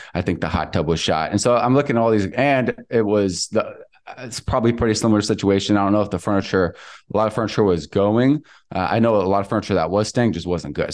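The speaker has an American accent and talks at a very fast pace. The background stays quiet. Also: man. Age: 20s. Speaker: real estate investor. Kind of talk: casual interview.

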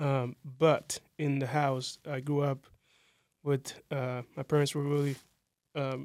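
The recording is very clean with a silent background. A man speaks at a fairly high pitch. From Democratic Republic of Congo. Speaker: former refugee and soccer coach. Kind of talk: podcast interview.

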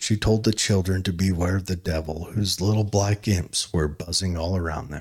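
A man's very deep, low voice with a dramatic tone, somewhat breathy and fairly even in intonation, at a moderate pace with hardly any pauses, on a very clean recording with a silent background. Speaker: podcast host. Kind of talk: solo podcast, casual chat with dramatic narration of historical accounts. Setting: home recording, solo. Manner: filler-heavy, rambling, halting; dramatic, read-aloud storytelling tone in the narrated stretch.

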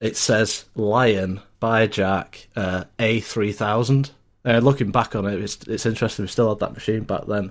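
In a Lancashire accent, a man speaks at a fairly low pitch and fairly slow pace with fairly even intonation on a very clean recording with a silent background. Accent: northern English (Lancashire). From northern England (Lancashire). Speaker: IT support technician. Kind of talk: casual chat. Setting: VoIP call.

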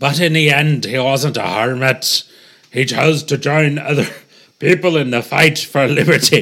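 Using a put-on character voice, a man speaks at a moderate pace with a strained, fairly high pitch. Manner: forceful, strained.

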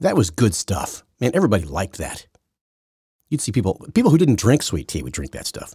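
With vocal fry and a fairly low pitch, a man talks at a fairly quick pace, his pitch swinging very widely and his loudness swinging a lot. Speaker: news commentator podcaster. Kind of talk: solo opinion monologue on news. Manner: rambling, halting, conversational.

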